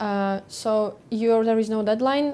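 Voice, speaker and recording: A woman with a Lithuanian accent speaks in a dark, mellow tone. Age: 20s. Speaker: airline pilot. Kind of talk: Q&A session. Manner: hesitant, many fillers.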